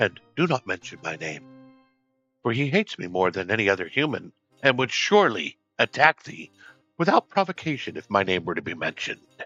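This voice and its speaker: A man puts on a gruff, growling character voice at medium pitch with very wide pitch swings and big swings in loudness. He goes at a fairly quick pace over faint music in the background. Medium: actual play. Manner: gruff, archaic thee-and-thou speech.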